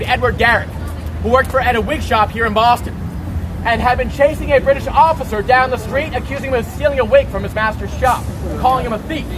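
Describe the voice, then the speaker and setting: Very fast speech with audible room echo and crowd noise in the background. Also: man. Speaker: tour guide. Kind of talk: guided walking tour talk. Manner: loud.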